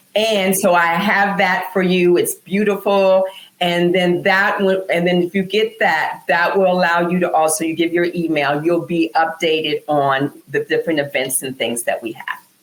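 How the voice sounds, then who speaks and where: With ordinary pitch variation and a fairly low pitch, a woman talks at a moderate pace in an unremarkable speaking voice. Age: 60s. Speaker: wellness entrepreneur. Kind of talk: casual interview chat.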